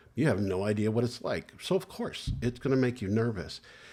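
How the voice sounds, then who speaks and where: A man with an unremarkable speaking voice, fairly low in pitch with ordinary pitch variation, at a fairly quick pace, on a very clean recording with a silent background. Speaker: licensed clinical social worker, therapist. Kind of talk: educational talk to camera about therapy. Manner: calm, reassuring, conversational.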